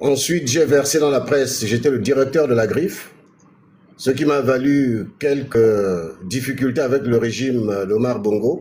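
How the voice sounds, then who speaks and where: A man with a medium pitch and a dark, mellow tone talks at a fairly slow pace, somewhat breathy, with ordinary pitch variation and very even loudness. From Gabon. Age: 60s. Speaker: politician. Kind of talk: interview.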